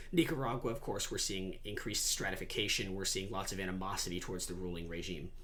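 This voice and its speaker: Speech rushes by at a very fast pace with hardly any pauses, in an American accent and with ordinary pitch variation. Room echo is audible. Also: man, very deep, low pitch for a man. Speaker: debate coach or student lecturer. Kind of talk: lecture.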